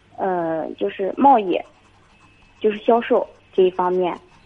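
A woman with lively intonation. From Jinan, Shandong. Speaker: university student caller. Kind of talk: phone-in question. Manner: hesitant, many fillers.

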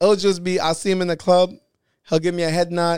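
A man with a New York accent at a very fast pace. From Brooklyn, New York. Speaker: internet prankster and comedian. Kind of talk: casual interview chat. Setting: studio.

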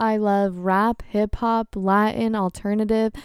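A woman with a medium pitch speaks in an animated tone. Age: 20s. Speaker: podcast host. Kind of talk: casual monologue.

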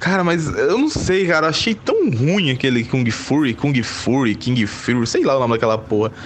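Lively intonation at a moderate pace, hardly any pauses, very even loudness and noticeable background noise. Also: man, fairly high pitch for a man. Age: 20s. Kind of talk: casual chat.

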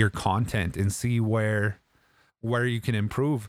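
The recording is very clean, with a silent background. A man with an unremarkable speaking voice talks at a medium pitch and a moderate pace. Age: 30s. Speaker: video game streamer and podcaster. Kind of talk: casual livestream podcast talk. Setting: live stream with chat. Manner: casual, friendly, upbeat.

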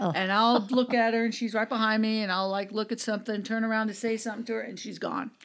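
A woman's very fast, nearly pauseless speech in an American accent, fairly high in pitch and monotone, flat in intonation. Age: 60s. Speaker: podcaster, former radio DJ. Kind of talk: casual chat.

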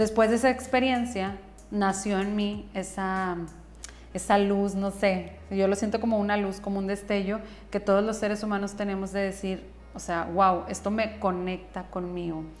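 A woman speaks at a medium pitch and a moderate pace, her intonation monotone and flat. Music plays in the background, and room echo is audible. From northern Mexico. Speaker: psychotherapist and podcast host. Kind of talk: solo podcast monologue.

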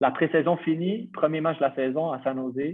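A man with a fairly high pitch talks in a normal speaking voice, keeping a moderate pace and ordinary pitch variation. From Quebec, Montreal. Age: 20s. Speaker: professional footballer. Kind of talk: casual interview.

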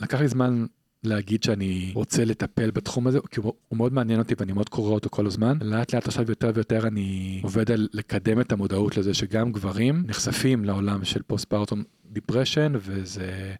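At a moderate pace and fairly low pitch, a man speaks with ordinary pitch variation in a dry, close sound with no echo. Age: 30s. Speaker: dentist and psychotherapist. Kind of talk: interview. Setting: studio. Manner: fluent and fervent.

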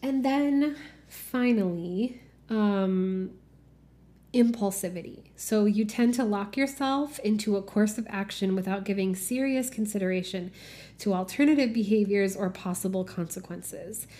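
A woman speaks at a fairly slow pace in a medium pitch. Her tone is dark and mellow, and somewhat breathy. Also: ordinary pitch variation. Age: 30s. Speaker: podcast host on healing and spirituality. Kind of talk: solo podcast monologue. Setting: home office.

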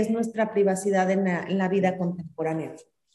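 Audible room echo hangs on a woman's speech, which shows ordinary pitch variation. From Mexico, Celaya, Guanajuato. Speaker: writer. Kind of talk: interview conversation.

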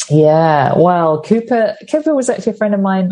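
A woman with a British accent speaks in a dark, mellow tone that is somewhat breathy. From UK. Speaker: author and comedian. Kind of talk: interview.

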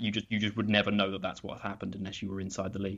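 A man speaks in a British accent. His pitch sits fairly low. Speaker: football draft analyst. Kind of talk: casual chat. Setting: remote call over internet.

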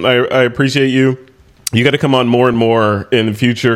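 Over noticeable background noise, a man speaks in a monotone with flat intonation. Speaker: podcast host. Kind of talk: casual interview over shots. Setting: video call.

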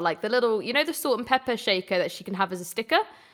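A woman with a British accent has a bright, sharp tone and lively intonation. The recording is very clean, with a silent background. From England. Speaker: gaming podcast co-host. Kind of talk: casual chat. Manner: animated.

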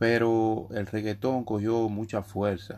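This is a man speaking. His pace is very slow. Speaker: urban music artist and podcaster. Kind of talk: casual monologue.

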